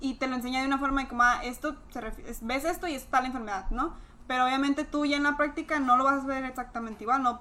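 A raised, projected voice moves at a very fast pace with fairly even intonation. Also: woman, high pitch for a woman. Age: 20s. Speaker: pharmacy student. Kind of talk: casual chat.

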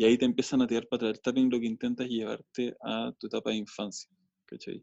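With a Chilean accent, a man speaks at a medium pitch in a monotone, flat intonation. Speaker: filmmaker. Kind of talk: casual chat.

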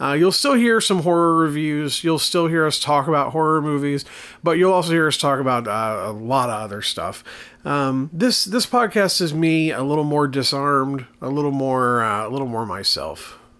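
A man speaks with an Appalachian accent in a fairly high, bright, sharp tone. His intonation is lively and his pace moderate. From southern West Virginia, near Kentucky border. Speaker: podcast host, horror movie reviewer. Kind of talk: casual solo podcast monologue. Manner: halting, many repetitions and fillers.

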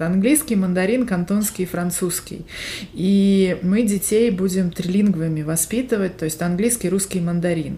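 A dark, mellow, somewhat breathy voice at a moderate pace, with ordinary pitch variation. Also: woman. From Siberia, Russia (Barnaul). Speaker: podcast co-host. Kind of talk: casual chat.

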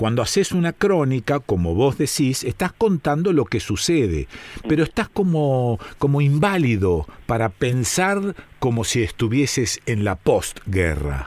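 Using a Rioplatense accent, a man at medium pitch speaks at a fairly slow pace with very wide pitch swings and very even loudness, on a very clean recording with a silent background. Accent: Argentine Rioplatense Spanish. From Argentina, Rosario. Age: 70s. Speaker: radio host. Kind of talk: radio talk and listener mail reading.

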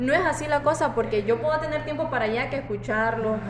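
A woman talks with audible room echo around her. Noticeable background noise runs underneath. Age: 20s. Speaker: design student and café worker. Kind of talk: casual chat. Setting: café.

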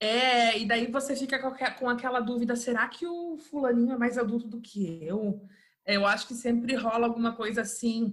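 In a normal speaking voice, a woman with a fairly high pitch talks at a moderate pace with ordinary pitch variation. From interior of Rio de Janeiro state, Brazil. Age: 30s. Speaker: English teacher and home decor influencer. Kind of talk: casual interview chat.

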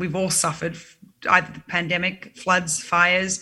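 A woman speaks at a moderate pace with a medium pitch. Her tone is bright and sharp. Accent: Australian. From Sydney, Australia. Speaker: singer-songwriter. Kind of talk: casual interview. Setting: video call.

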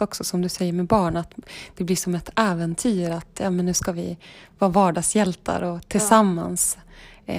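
At a moderate pace, a woman with a medium pitch speaks with fairly even intonation in an unremarkable speaking voice. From northern Sweden, Vilhelmina (Lapland). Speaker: fly-fishing enthusiast and lawyer. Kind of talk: casual interview. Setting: friend's apartment, in person.

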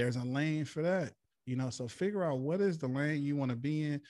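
With a plain, everyday voice, a man talks at a fairly quick pace and lively intonation in a very clean recording with a silent background. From Flint, Michigan. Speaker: hip-hop artist. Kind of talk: interview.

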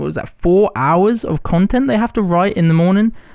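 This man's voice sits high in pitch. His tone is animated and his intonation lively. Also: very clean recording, silent background. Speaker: podcast host. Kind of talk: solo outro monologue; casual interview chat.

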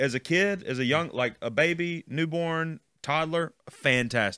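Recorded very cleanly with a silent background and a dry, close sound with no echo, a man speaks in a Southern US accent. His fairly high voice is bright and sharp, with lively intonation. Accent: Southern American. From US South, Mississippi (Jackson area). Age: 30s. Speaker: student ministry pastor. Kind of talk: casual chat.

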